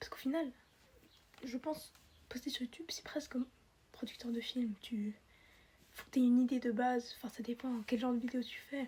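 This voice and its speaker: A woman's high-pitched voice, dark and mellow in tone, fairly quick yet broken by long, frequent pauses, with fairly even intonation. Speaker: YouTuber. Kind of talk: casual vlog. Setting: bedroom. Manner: halting.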